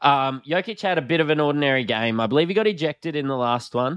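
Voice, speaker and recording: With a strong Australian accent, a man talks at a fairly quick pace in a fairly high pitch and lively intonation, the sound dry and close with no echo over a quiet background. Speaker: podcast host. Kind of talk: casual chat. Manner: casual, joking.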